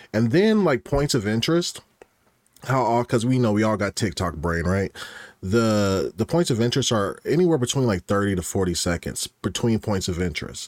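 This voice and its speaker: At a moderate pace, a man speaks at medium pitch in an ordinary speaking voice, the sound dry and close with no echo. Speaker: podcast guest. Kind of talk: casual banter.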